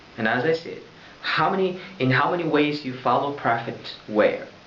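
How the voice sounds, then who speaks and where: Noticeable background noise and audible room echo surround a man's fairly high voice. He talks at a moderate pace with ordinary pitch variation. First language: Arabic. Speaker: religious vlogger. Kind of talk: religious talk to camera. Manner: loud; halting.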